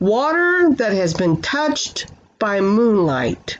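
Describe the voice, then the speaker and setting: A woman puts on a character voice at a medium pitch, swinging her pitch very widely. She speaks at a very slow pace. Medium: read story. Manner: gentle, warm.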